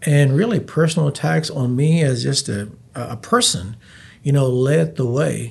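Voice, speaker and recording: Speaking with an American accent at a moderate pace, a man uses a medium, somewhat breathy voice with very wide pitch swings. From Texas, Abilene. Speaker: city mayor. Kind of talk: casual interview.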